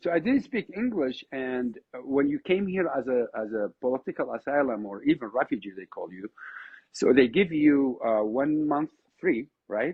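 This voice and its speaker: Speaking with an Iraqi accent, a man uses lively intonation and big swings in loudness. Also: fairly high pitch for a man, moderate pace. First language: Arabic. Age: 50s. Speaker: oud musician. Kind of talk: podcast interview. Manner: animated, repetitive false starts.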